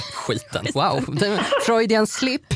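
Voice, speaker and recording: A man at a very slow pace. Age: 30s. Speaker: podcast host. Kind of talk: casual chat.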